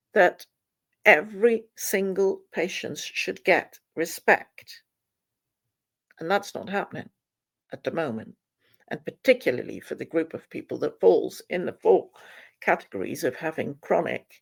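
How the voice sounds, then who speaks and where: A woman speaks with a Flemish accent at a fairly slow pace. Her loudness swings widely, and her pauses are long and frequent. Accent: Flemish Dutch accent in English. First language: Dutch. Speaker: author. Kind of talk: fundraising appeal to camera.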